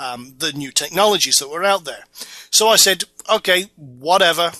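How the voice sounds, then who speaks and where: Speaking in a Scottish accent, a man keeps a moderate pace and a bright, sharp tone. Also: dry, close sound with no echo. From Scotland, Orkney Islands. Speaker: internet marketing instructor. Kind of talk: tutorial. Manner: casual.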